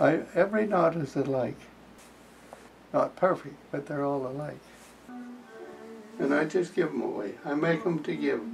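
With faint music in the background, a man with a fairly high pitch talks at a moderate pace, using ordinary pitch variation and long, frequent pauses. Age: 80s+. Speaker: quilter. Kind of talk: casual talk to camera. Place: home room. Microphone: camera far.

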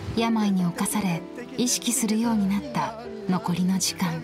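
With clear music in the background, a woman speaks fairly slowly at a medium pitch and with ordinary pitch variation, the sound dry with no echo. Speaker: TV announcer narrating a documentary. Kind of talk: documentary narration. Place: studio.

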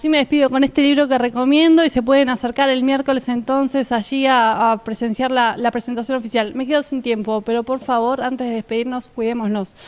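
Speaking at a fairly quick pace, a woman holds a high pitch with fairly even intonation. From Argentina. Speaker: talk show host; TV show host. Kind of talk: casual interview. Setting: outdoor café patio. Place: garden. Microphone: handheld.

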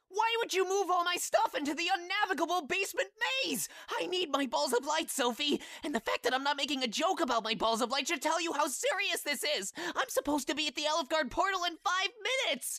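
A put-on character voice, high-pitched and whiny, at a very fast pace. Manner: whiny, sarcastic, indignant.

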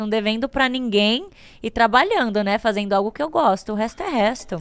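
A woman's fairly high voice at a very fast pace, ordinary pitch variation, quiet background. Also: dry sound with no echo. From Greater São Paulo (ABC region); São Paulo. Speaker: singer; podcast guest. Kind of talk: casual chat. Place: studio. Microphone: studio mic.

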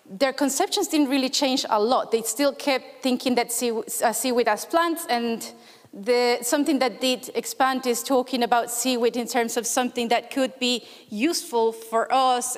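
In a quiet background, a woman talks at a moderate pace with a high pitch and fairly even intonation. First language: Spanish. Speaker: researcher; conference presenter. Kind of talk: conference talk. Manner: hesitant, many fillers. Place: hall.

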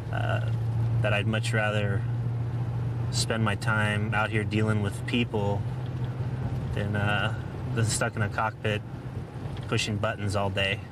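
A man's fairly slow speech comes through loud background noise, with a dry sound and no echo. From moved around, military family; born in Oklahoma, settled in Washington State. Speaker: police officer. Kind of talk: interview to camera and on-duty talk. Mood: calm, relaxed. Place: car.

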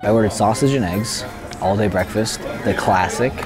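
Clear music plays behind a man who talks at a moderate pace with ordinary pitch variation. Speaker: food vlogger. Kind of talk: casual vlog chat. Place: cafe.

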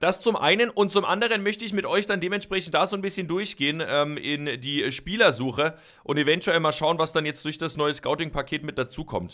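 A man speaks at a fairly quick pace in a high voice with a bright, sharp tone. The background is quiet. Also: ordinary pitch variation. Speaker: gaming YouTuber. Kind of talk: let's play commentary. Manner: casual, chatty. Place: home room.

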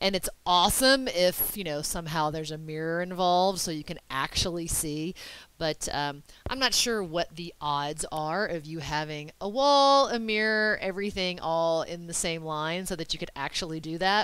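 A woman talks in a normal speaking voice, fairly low in pitch, with lively intonation. Her moderate pace comes through a dry sound with no echo. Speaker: yoga instructor. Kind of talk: tutorial. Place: home room. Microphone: headset.

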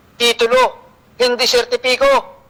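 A man's speech comes through with clear background noise behind it. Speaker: land title advocate on radio. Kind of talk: radio talk show discussion. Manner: halting with many fillers; animated.

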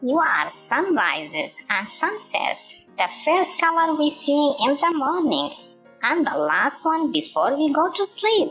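Doing a put-on character voice, a woman speaks slowly and high with a fairly bright tone and big pitch swings, faint music playing in the background.

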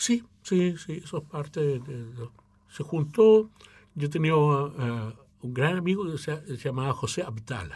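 Speaking at a fairly slow pace, this voice has lively intonation and a somewhat breathy quality. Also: man, fairly high pitch for a man. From Chile, Mapuche; Chile. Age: 60s. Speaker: opera tenor and choir director; interviewee. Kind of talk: interview. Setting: radio studio. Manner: halting. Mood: calm, reflective. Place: studio. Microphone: studio mic.

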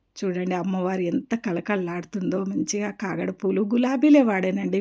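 A woman's medium-pitched voice with ordinary pitch variation, amid noticeable background noise. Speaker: vlogger. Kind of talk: devotional tutorial vlog. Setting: home puja room.

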